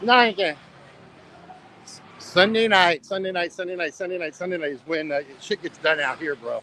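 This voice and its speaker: A man with an American accent speaks at a moderate pace, his pitch high with ordinary variation. Long, frequent pauses break up his speech over noticeable background noise. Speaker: travel live streamer. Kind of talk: casual live stream.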